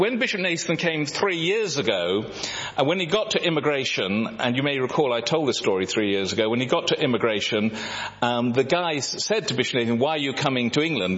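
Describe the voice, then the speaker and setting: Noticeable background noise fills the clip as a man talks at a very fast pace. His pitch swings very widely. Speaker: visiting mission speaker. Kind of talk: talk with slides.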